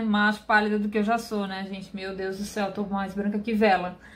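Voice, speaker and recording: The speaker is female. Her delivery keeps a moderate pace. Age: 30s. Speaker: beauty youtuber. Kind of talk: product review vlog. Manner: chatty.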